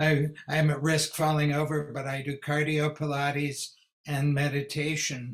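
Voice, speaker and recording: A man with a fairly high pitch speaks fairly slowly in a somewhat breathy voice. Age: 70s. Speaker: tai chi instructor. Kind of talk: video call discussion.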